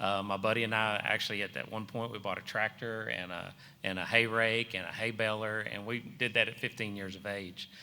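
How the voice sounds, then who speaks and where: A man with a Texan accent talks at a fairly quick pace with hardly any pauses, his fairly low pitch held in monotone, flat intonation, his tone bright and sharp, on a very clean recording with a silent background. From North Texas (Van Alstyne). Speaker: restaurant franchise owner. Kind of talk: panel discussion.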